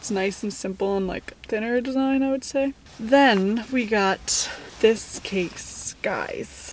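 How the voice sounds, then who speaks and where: A woman speaks with fairly even intonation in a dry sound with no echo, over light background noise. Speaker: lifestyle vlogger. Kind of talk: casual vlog chat, sponsor segment. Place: car. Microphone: phone near.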